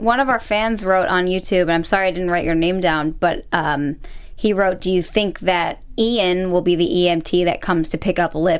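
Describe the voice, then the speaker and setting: A woman with a normal speaking voice at medium pitch, ordinary pitch variation, very even loudness, a moderate pace, and hardly any pauses. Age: 20s. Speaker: TV aftershow podcast host. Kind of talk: casual chat.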